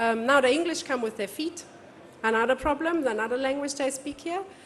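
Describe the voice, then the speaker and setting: A woman is speaking. Noticeable background noise can be heard. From Germany. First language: German. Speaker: event technology speaker. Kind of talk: conference talk.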